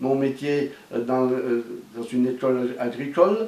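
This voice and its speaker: A man speaks very slowly against noticeable background noise. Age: 60s. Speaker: former farmer and pastoral educator. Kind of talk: testimony. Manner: halting, many hesitations.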